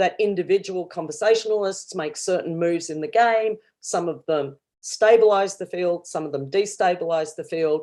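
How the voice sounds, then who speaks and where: Speaking with an Australian accent, a woman has a dark, mellow tone, a medium pitch, a moderate pace and ordinary pitch variation over a quiet background. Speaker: professor. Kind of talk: academic conference talk. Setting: virtual conference livestream.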